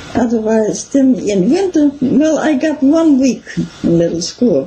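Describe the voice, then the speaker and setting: Over noticeable background noise, a high-pitched woman speaks at a fairly slow pace, her pitch swinging very widely while her loudness stays very even. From Wisconsin, rural German immigrant family. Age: 80s+. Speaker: local history interviewee. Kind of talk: oral history interview. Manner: halting.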